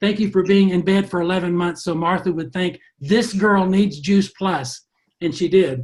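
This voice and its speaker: Here a man speaks at a moderate pace. His pitch is high. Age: 70s. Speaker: motivational speaker in direct sales. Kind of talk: motivational talk on a group call.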